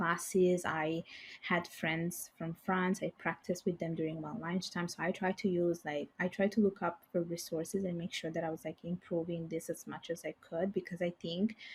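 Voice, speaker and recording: A woman speaks with a fairly low pitch and a somewhat breathy voice. Her intonation is monotone and flat. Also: moderate pace, hardly any pauses. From Italy, Bangladeshi parents. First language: Bengali and Italian. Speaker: financial services professional. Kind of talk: podcast interview.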